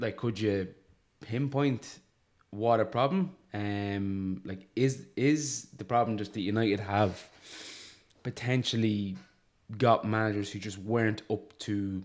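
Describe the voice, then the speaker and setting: Over a very clean recording with a silent background, a man with an Irish accent speaks at a fairly low pitch and a very slow pace, with ordinary pitch variation and long, frequent pauses. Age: 30s. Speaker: sports podcast host. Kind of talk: casual chat.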